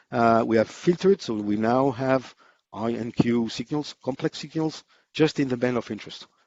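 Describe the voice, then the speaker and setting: Speaking with a French accent, a man uses a medium pitch and ordinary pitch variation at a moderate pace. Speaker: amateur radio engineer presenter. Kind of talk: technical conference presentation. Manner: hesitant, many fillers.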